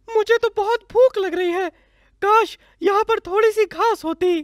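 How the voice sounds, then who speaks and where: This female-sounding cartoonish character voice is squeaky and extremely high-pitched, delivered at a moderate pace. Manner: expressive cartoon voice.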